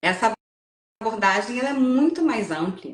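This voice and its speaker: A woman speaks at a moderate pace with lively intonation and a somewhat breathy quality. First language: English (Portuguese studied only to third grade) (speaking Portuguese). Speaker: psychoanalysis course graduate. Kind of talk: interview conversation. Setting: online live stream. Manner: hesitant, many fillers and repetitions.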